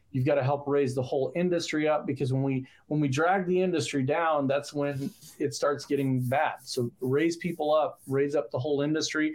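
This man has an ordinary speaking voice with a fairly high pitch. He talks at a fairly quick pace with fairly even intonation. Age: 50s. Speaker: podcast co-host. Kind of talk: casual chat.

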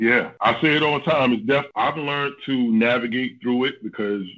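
With a fairly bright tone, a man talks at a moderate pace, his medium pitch showing ordinary variation.

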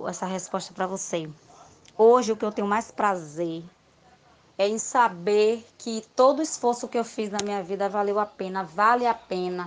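This woman has an ordinary speaking voice at a medium pitch. She keeps a moderate pace with ordinary pitch variation. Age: 30s. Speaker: beauty salon owner. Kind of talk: interview.

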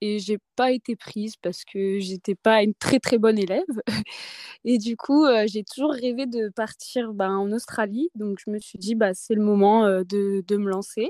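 A woman with a dark, mellow tone speaks at a fairly slow pace with fairly even intonation. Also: fairly high pitch for a woman, dry, close sound with no echo. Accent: slight Toulouse. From Auvergne, France (near Clermont-Ferrand). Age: 20s. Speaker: traveller. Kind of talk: testimony.

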